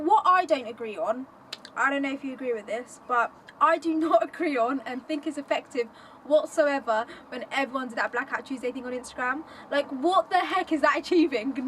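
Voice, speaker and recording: A woman's high voice at a fairly quick pace, with ordinary pitch variation and big swings in loudness, over noticeable background noise. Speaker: podcast host. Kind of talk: casual chat. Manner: fast.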